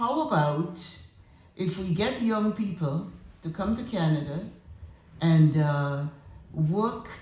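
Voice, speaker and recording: A woman's fairly low-pitched voice with lively intonation at a fairly slow pace, with audible room echo. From Grenada. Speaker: retired politician and educator. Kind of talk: tribute speech.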